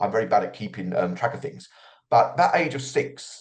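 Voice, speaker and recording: A man speaks with lively intonation. His voice is somewhat breathy. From London, England. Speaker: author. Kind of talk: interview.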